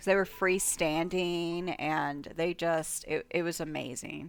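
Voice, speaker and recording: Loud, fairly low-pitched woman's voice at a very slow pace, with ordinary pitch variation, on a very clean recording with a silent background. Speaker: gaming youtuber. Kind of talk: let's play commentary. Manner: animated.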